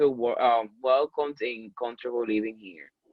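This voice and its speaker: The speech comes at a moderate pace with a Spanish accent. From Dominican Republic. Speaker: student government vice president. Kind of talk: interview. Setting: video call. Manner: halting.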